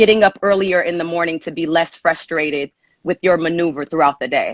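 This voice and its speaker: A woman talks fairly quickly with a fairly low pitch and fairly even intonation. The sound is dry and close, with no echo. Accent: Southern California. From Los Angeles (Inglewood), California. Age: 30s. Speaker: personal trainer. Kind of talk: live-stream advice call.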